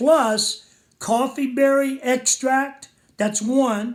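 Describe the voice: With fairly even intonation, a man speaks at an extremely high pitch.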